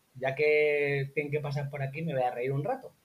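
Here is a man with a fairly high-pitched voice. It sounds somewhat breathy. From Spain, La Mancha (Albacete). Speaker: copywriter and online marketer. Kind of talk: casual interview.

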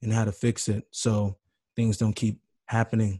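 Recorded dry and close with no echo, a man speaks at a moderate pace in a medium pitch, somewhat breathy, with a dark, mellow tone and monotone, flat intonation. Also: quiet background. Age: 20s. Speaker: podcast host. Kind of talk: radio interview. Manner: casual, filler-heavy.

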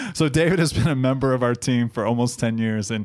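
In an unremarkable speaking voice, a man talks at a fairly quick pace with fairly even intonation. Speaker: podcast host. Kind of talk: casual conversation and intro. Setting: studio.

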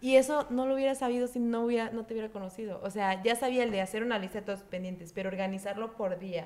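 Noticeable background noise sits behind a woman who talks at a very fast pace, her fairly high voice showing ordinary pitch variation. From Mexico, Chiapas. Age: 20s. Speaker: entrepreneur and student. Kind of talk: casual interview.

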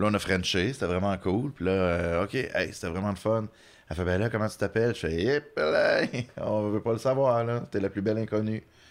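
This is a normal speaking voice from a man with a fairly low pitch. He keeps a moderate pace and ordinary pitch variation. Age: 30s. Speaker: comedian. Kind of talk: casual chat.

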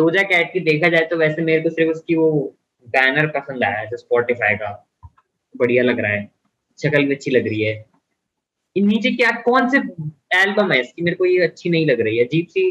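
Pausing long and often, a fairly high-pitched man speaks at a moderate pace with very wide pitch swings. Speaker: podcast host. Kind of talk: casual chat.

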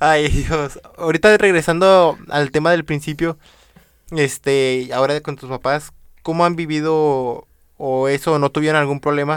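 Speaking at a fairly slow pace with fairly even intonation, a man has a fairly high pitch and an unremarkable speaking voice. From Venezuela. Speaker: podcast host. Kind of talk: interview.

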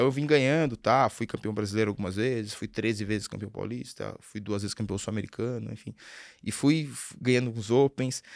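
A man talks at a fairly quick pace and medium pitch. His is an unremarkable speaking voice. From Brazil, Sorocaba (interior of São Paulo state). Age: 40s. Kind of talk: casual interview.

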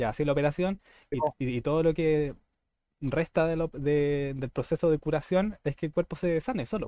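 With a Chilean accent, a man talks in a fairly high pitch and a dark, mellow tone, with ordinary pitch variation and a dry, close sound with no echo. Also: moderate pace. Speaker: podcast host. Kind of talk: casual chat.

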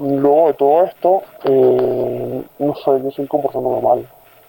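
A woman speaks with a very deep, low pitch and fairly even intonation. Noticeable background noise runs under her voice. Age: young. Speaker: person living with depression. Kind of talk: testimony.

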